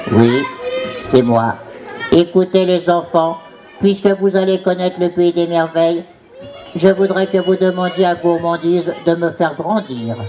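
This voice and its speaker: A cartoonish character voice moves at a moderate pace with long, frequent pauses. Clear background noise runs underneath. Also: man, high pitch for a man. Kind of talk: children's puppet show. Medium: puppet show. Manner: gentle, asking for help.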